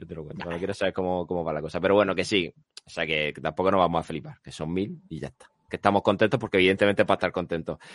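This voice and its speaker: Against a quiet background, a man talks at a very fast pace with a very deep, low pitch, and the sound is dry and close with no echo. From Spain, Lorca (Murcia). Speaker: podcast host. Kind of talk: casual chat.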